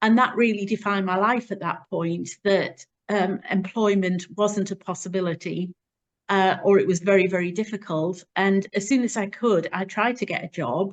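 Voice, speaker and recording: Here is a plain, everyday voice. The pace is moderate and the intonation fairly even. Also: woman, medium pitch for a woman. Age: 60s. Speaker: charity founder. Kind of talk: interview testimony.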